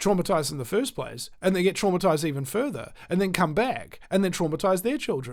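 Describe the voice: Speaking at a fairly quick pace, a man with a high pitch makes big pitch swings on a very clean recording with a silent background.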